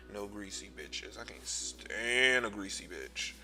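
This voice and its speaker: Music plays in the background. Over it, a man speaks at a fairly slow pace. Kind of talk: comedic voiceover commentary over a makeup tutorial. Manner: sassy, loud, exaggerated, profane.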